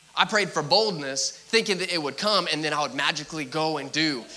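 A man speaks fairly quickly in a fairly high pitch with ordinary pitch variation. Noticeable background noise runs under his voice. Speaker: preacher. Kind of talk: sermon. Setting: church. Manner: mumbling.

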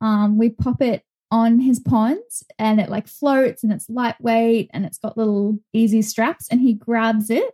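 A woman's fairly high-pitched, somewhat breathy voice with a dark, mellow tone, fairly even intonation and a fairly slow pace, in a dry, close sound with no echo. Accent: Australian. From Australia (Brisbane). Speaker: zookeeper and animal trainer. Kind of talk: casual interview chat.

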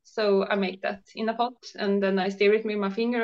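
Speaking at a fairly quick pace, a woman with a Swedish accent uses a medium pitch. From Sweden. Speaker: raw food chef and blogger. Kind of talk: casual interview chat. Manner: hesitant, halting with fillers.

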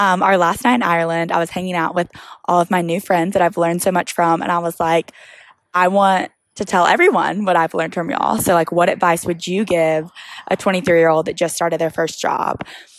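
At a fairly quick pace, a woman speaks with a fairly low pitch. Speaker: podcast host. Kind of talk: casual monologue. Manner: animated.

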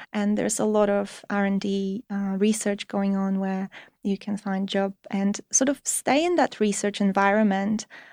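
On a very clean recording with a silent background and a dry, close sound with no echo, a woman with a Polish accent speaks at a fairly slow pace in a medium pitch, her tone dark and mellow and her intonation monotone and flat. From Poland. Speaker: materials research assistant. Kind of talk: interview. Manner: hesitant, many fillers.

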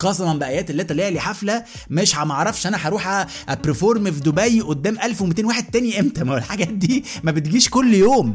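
This animated voice speaks at a fairly quick pace with lively intonation and hardly any pauses. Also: man, high pitch for a man. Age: 30s. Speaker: podcast host. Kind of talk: casual comedic monologue.

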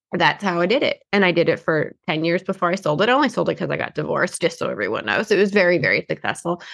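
A woman talks very fast with hardly any pauses, her fairly low voice showing vocal fry. Her tone is animated and her intonation lively. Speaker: insurance marketing host. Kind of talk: casual chat.

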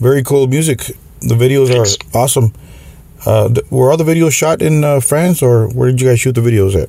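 Amid noticeable background noise, a man speaks fairly quickly at a medium pitch with ordinary pitch variation. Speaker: podcast host. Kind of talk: interview. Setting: video call.

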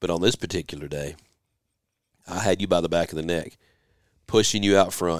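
This man speaks in a Southern US accent with fairly even intonation. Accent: Southern American. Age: 40s. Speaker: podcast host. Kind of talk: casual chat. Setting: home office.

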